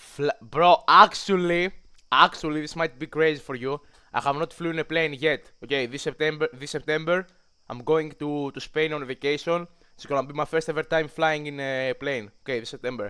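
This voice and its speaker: In a very clean recording with a silent background, a man speaks with a Greek accent at a fairly high pitch. His tone is bright and sharp, his intonation fairly even, and his loudness swings a lot. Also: moderate pace. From Greece. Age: young. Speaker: streamer. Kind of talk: casual livestream chat. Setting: livestream. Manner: halting.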